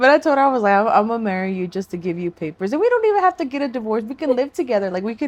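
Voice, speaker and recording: Fairly high in pitch, a woman talks at a very fast pace with very wide pitch swings. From US, raised in Florida (born Texas). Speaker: podcast co-host. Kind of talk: casual chat.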